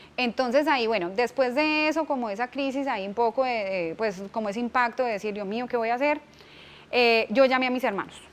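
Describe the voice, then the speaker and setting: A woman talks fairly quickly in a fairly high voice with ordinary pitch variation. She has an ordinary speaking voice. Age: 30s. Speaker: business owner and economist. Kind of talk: interview testimony.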